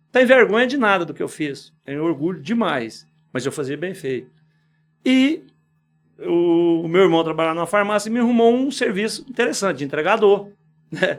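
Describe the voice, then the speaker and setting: The pitch swings very widely, broken by long, frequent pauses. The recording is very clean, with a silent background. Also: man, high pitch for a man, moderate pace. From Goiás, Brazil (Quirinópolis, rural). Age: 60s. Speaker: business owner. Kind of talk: podcast interview. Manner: informal, conversational.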